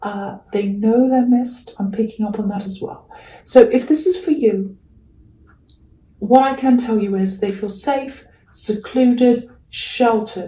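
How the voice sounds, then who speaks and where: Fairly high-pitched and somewhat breathy, a woman speaks at a fairly slow pace with ordinary pitch variation and big swings in loudness. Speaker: tarot reader. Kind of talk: tarot reading. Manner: casual, hesitant with fillers.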